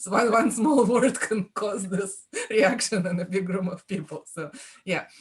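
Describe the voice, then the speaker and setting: Speaking at a fairly slow pace, a woman talks with a Russian accent. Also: medium pitch for a woman, ordinary pitch variation. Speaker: author. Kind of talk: panel discussion.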